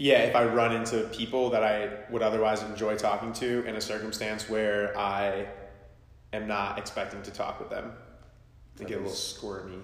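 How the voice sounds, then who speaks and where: A man speaks in a fairly low pitch with monotone, flat intonation. Noticeable background noise sits behind him. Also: moderate pace. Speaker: podcast host. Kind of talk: casual chat.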